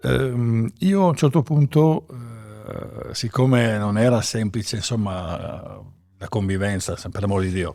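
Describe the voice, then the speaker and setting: A man's dark, mellow tone with lively intonation, a fairly slow pace and long, frequent pauses. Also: medium pitch for a man. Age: 60s. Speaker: winemaker. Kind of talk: interview. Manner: halting, many fillers.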